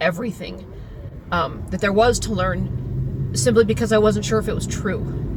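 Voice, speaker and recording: A woman with an American accent speaks at a moderate pace while noticeable noise runs in the background. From US suburbs. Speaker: teacher. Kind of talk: casual monologue.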